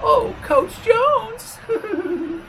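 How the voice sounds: A squeaky, put-on character voice speaks. Light background noise is present. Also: female-sounding voice, extremely high pitch for a woman.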